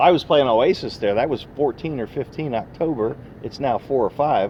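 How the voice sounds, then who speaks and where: This man has an unremarkable speaking voice, fairly high in pitch with ordinary variation. He talks at a moderate pace. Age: 60s. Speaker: retired oilfield worker giving investment advice. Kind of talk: casual interview chat. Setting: recorded on a phone.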